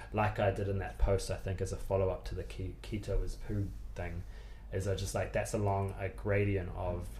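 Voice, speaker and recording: A New Zealand accent at a moderate pace, with audible room echo. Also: man. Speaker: nutritionist and personal trainer. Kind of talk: casual interview chat.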